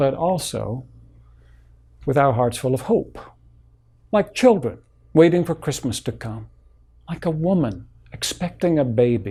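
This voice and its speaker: A man with a fairly high pitch and a dark, mellow, somewhat breathy tone speaks at a fairly slow pace with lively intonation and long, frequent pauses. The recording is very clean, with a silent background. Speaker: Baptist pastor. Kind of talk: sermon delivered to a congregation.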